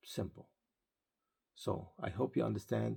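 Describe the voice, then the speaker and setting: Vocal fry runs through a man's dark, mellow tone as he speaks at a moderate pace. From Israel. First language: Arabic or Hebrew. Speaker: pastor. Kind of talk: sermon-style video talk.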